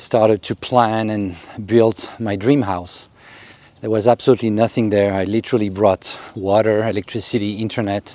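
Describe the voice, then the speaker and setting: In a French accent, a man speaks at a moderate pace with monotone, flat intonation. His tone is dark and mellow, and the sound is dry and close with no echo. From Africa. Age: 50s. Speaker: YouTuber. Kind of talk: casual vlog monologue. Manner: hesitant with fillers.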